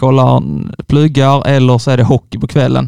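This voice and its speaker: A man is speaking. His pitch is medium. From Skåne, village near Ängelholm. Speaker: university student. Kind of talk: casual chat. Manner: halting, repetitive starts.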